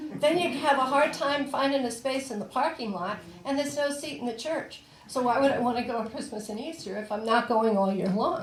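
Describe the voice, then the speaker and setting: A woman with a high pitch and ordinary pitch variation speaks at a fairly quick pace, with audible room echo and noticeable background noise. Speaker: ordained priest and social worker. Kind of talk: sermon.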